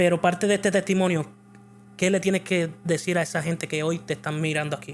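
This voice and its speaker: A man with a Puerto Rican accent speaks at a fairly quick pace in a high pitch, with ordinary pitch variation. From Puerto Rico. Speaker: church video show host. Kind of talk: interview.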